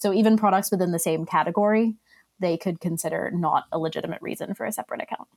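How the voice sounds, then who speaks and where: At a very fast pace, a woman of medium pitch speaks with ordinary pitch variation in a dry, close recording with no echo. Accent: American. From Australia. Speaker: e-commerce compliance specialist. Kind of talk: casual interview. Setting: video call.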